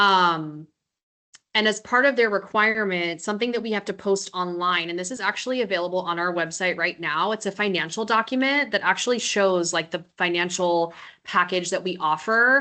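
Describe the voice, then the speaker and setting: This woman is loud. Her tone is bright and sharp. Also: medium pitch for a woman, ordinary pitch variation, moderate pace. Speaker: residency program director. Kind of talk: Q&A webinar info.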